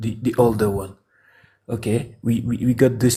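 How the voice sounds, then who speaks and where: A man with a French accent speaks in a medium pitch at a moderate pace, somewhat breathy, with a dark, mellow tone and monotone, flat intonation. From France. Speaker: caller. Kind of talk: debate. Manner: halting.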